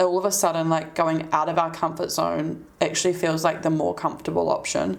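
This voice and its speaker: There is noticeable background noise. A woman with a New Zealand accent speaks at a fairly low pitch. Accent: Kiwi. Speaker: tarot reader. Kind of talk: tarot reading.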